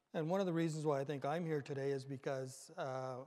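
Over a quiet background, a man talks at a fairly quick pace in a flat, monotone way. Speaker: conference presenter. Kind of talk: lecture. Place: hall. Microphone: podium.

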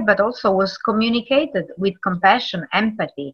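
A woman speaks at a moderate pace with a medium pitch and ordinary pitch variation. Her voice has a slightly husky edge.

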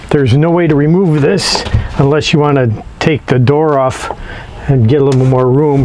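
A man talking at a fairly quick pace with fairly even intonation. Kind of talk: tutorial. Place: garden.

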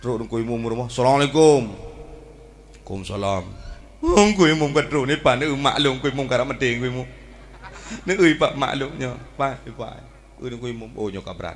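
A man with an Aceh accent speaks at a moderate pace in an animated tone, his pitch varying in an ordinary way and his loudness swinging widely over light background noise. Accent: Acehnese. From Aceh, Indonesia. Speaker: Islamic preacher. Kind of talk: sermon. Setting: religious event with audience. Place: stage. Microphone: handheld.

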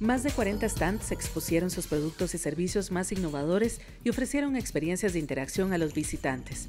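A woman's fairly low voice at a fairly quick pace, with hardly any pauses, very wide pitch swings and very even loudness, over music in the background. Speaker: voice-over narrator for a television report. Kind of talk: corporate narration, TV news report voiceover.

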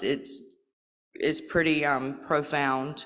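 A woman speaks at a very deep, low pitch. The background is quiet. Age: 40s. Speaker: recovery program participant. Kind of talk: testimony. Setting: stage with audience. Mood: earnest, emotional. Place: hall. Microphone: podium.

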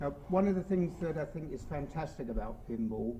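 A man with a British accent and a fairly high pitch speaks over light background noise. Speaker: event host introducing the speaker. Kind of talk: introduction of a speaker at a seminar. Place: hall. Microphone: podium.

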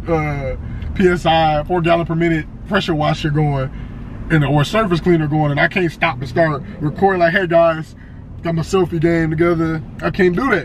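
A man talking at a moderate pace over light background noise. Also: fairly even intonation, dry sound with no echo. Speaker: vlogger. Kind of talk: casual vlog chat. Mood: playful, laughing. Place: car.

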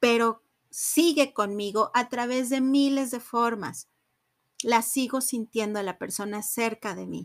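A woman's fairly even intonation, very clean and dry, with a silent background and close sound free of echo. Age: 30s. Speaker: psychotherapist and podcast host. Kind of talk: solo reflective podcast talk. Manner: halting, with many fillers.

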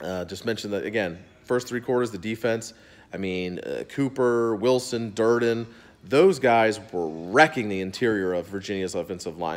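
Moderate pace and ordinary pitch variation. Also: man. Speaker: sports fan vlogger. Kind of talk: angry sports rant, cursing about a losing team. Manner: exasperated, fired up, ranting with profanity; casual, rambling. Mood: frustrated, sarcastic. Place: home room. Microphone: phone near.

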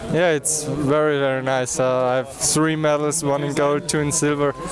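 A man's voice comes through dry, with no echo, over noticeable background noise. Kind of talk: interview answer. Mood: happy, proud, relaxed. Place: stadium.

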